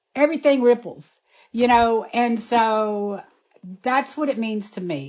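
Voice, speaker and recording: Here a woman speaks at a very slow pace. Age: 60s. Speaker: animal sanctuary founder. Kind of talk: interview. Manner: animated; halting.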